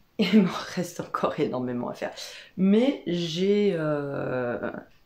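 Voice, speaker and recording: A woman speaks very slowly, with audible room echo around her voice. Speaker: craft vlogger and wool dyer. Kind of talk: casual vlog monologue. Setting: workshop. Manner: hesitant, many fillers.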